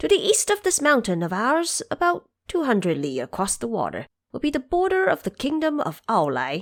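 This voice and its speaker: A woman speaks in a put-on character voice. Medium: audio drama. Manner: deferential, advising.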